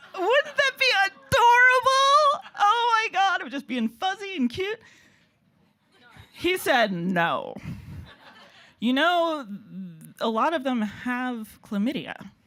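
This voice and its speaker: A woman's raised, projected voice at an extremely high pitch, very slow, with very wide pitch swings, long, frequent pauses and an American accent. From United States. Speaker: comedian. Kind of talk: stand-up. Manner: halting.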